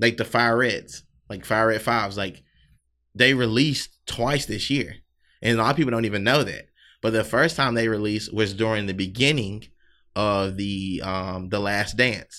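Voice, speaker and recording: In a Southern US accent, a man with a fairly low pitch and a bright, sharp tone talks at a moderate pace with ordinary pitch variation on a very clean recording with a silent background. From US South, South Carolina. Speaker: sneaker brand owner and podcaster. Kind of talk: casual chat.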